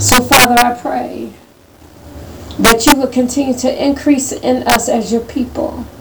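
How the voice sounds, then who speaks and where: A woman at a fairly slow pace amid noticeable background noise. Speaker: prayer participant. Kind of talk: fervent group prayer. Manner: fervent, worshipful.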